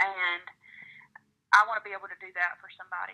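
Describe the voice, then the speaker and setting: This woman has a Southern US accent. Her pitch is medium. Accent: Southern drawl. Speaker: country singer-songwriter. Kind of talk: interview answer.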